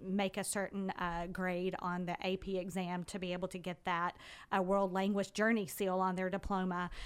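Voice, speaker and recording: A woman with an ordinary speaking voice and an American accent talks at medium pitch and a moderate pace. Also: very clean recording, silent background. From US South, Carrollton, Georgia. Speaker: school admissions director. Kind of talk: radio interview. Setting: radio studio.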